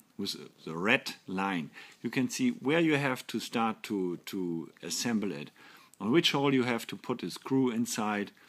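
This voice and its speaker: A fairly low-pitched man with a German accent, lively in intonation and fairly slow in pace, on a very clean recording with a silent background. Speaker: toy company representative. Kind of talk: product presentation. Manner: halting.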